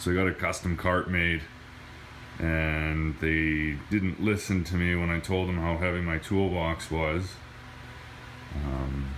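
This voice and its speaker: Noticeable background noise sits behind this recording. A man speaks in a very deep, low voice with fairly even intonation. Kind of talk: casual vlog chat. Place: garage. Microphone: phone near.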